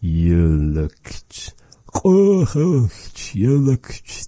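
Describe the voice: Put-on character voice at a low-to-middle pitch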